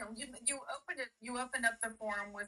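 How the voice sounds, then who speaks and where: The woman's tone is bright and sharp. She moves along at a fairly quick pace. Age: 50s. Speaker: caller, former doula. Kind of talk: casual call-in discussion.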